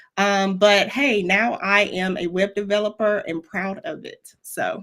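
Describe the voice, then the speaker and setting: Speaking fairly slowly in a Southern US accent, a woman keeps a medium pitch with ordinary variation while her loudness swings widely. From Florida, US South. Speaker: web developer and mentor, former educator. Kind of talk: interview. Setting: live stream.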